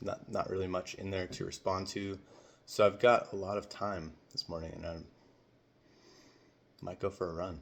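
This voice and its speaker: Very deep and low, a man's voice holds a fairly even intonation. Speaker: cleaning business owner. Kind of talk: casual talk to camera. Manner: hesitant, stumbles over words.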